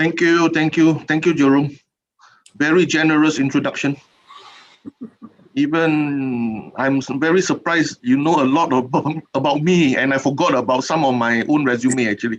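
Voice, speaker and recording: A man with a Singaporean accent speaks at a fairly high pitch. His loudness stays very even. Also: fairly even intonation. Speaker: keynote speaker, regional official. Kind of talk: keynote address. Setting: online webinar. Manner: fast.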